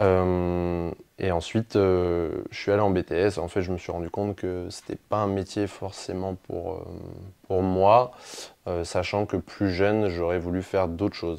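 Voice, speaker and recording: A man speaks in a very deep, low voice with flat, monotone intonation. His pace is fairly slow. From France, Lorraine (near Jarny). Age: 20s. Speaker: sports coach. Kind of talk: interview. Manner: hesitant, many fillers.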